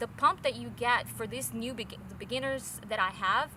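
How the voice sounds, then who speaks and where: A woman speaks in a high voice. Her tone is bright and sharp. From Brazil. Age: 40s. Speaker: fitness trainer. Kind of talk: interview. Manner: halting, many fillers and repeats.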